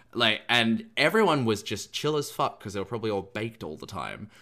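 Recorded very cleanly against a silent background, a man speaks at medium pitch in an ordinary speaking voice with ordinary pitch variation. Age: 20s. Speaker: YouTuber and drag entertainer. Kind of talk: casual chat.

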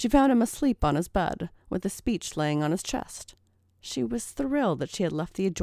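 A text is being read aloud. It comes in a natural voice.

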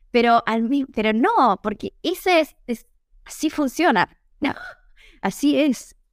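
A woman speaks very slowly in a high voice, leaving long, frequent pauses. The sound is dry and close, with no echo. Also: lively intonation. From Argentina, Tucumán. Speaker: Italian teacher and translator. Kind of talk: interview.

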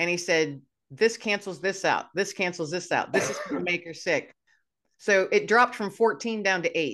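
Ordinary pitch variation from a woman at medium pitch, talking at a moderate pace. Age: 50s. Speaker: podcast host. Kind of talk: casual interview chat. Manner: animated.

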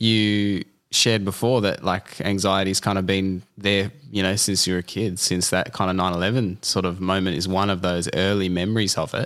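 With hardly any pauses and very even loudness, a man speaks at a moderate pace in a very deep, low pitch and monotone, flat intonation. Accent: Australian. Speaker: podcast host. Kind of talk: casual interview. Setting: at guest's home.

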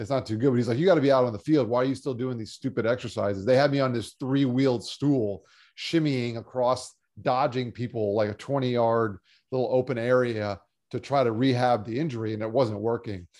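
Against a quiet background, a man with an American accent talks at a fairly quick pace and medium pitch. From South Florida. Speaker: cancer survivor and motivational speaker. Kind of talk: interview. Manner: animated.

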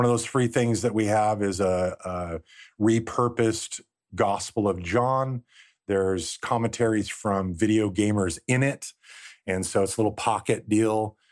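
A normal speaking voice moves at a fairly slow pace with very even loudness and fairly even intonation against a quiet background. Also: man, fairly low pitch for a man. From Southern California coast. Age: 40s. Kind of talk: casual chat.

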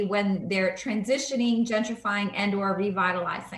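Noticeable background noise and audible room echo surround the recording. A woman talks at a moderate pace with a fairly high pitch. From New York, South Bronx. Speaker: real estate agent and community advocate. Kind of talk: interview.

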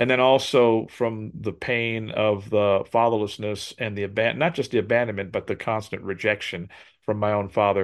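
A man with an unremarkable speaking voice talks at a moderate pace in a fairly low pitch, his intonation fairly even against a quiet background. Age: 60s. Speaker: drummer and motivational speaker. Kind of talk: interview.

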